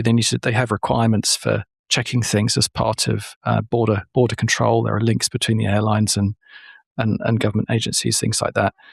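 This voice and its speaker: A man with a British accent at a fairly quick pace, very even loudness, and a dry, close sound with no echo. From Britain. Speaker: podcast host. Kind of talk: interview. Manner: halting, repeats words.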